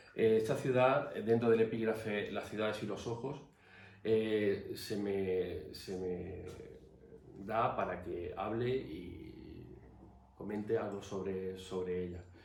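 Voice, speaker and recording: A man's fairly low, somewhat breathy voice at a very slow pace, with ordinary pitch variation and audible room echo. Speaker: artist and academy member giving a talk. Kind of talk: formal talk. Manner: hesitant.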